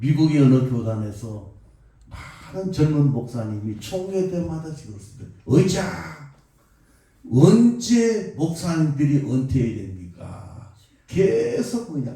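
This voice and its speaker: A man's fairly high voice at a very slow pace, with very wide pitch swings, big swings in loudness and audible room echo. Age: 70s. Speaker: pastor. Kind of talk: sermon.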